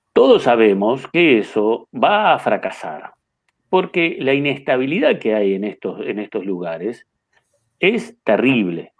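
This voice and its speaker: Someone with a Uruguayan accent speaks at a fairly slow pace with very wide pitch swings. The background is quiet. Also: man. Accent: Uruguayan Rioplatense Spanish. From Uruguay, Carmelo. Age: 50s. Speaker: chess master and federation president; interviewee. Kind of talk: interview. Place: home room. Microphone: webcam.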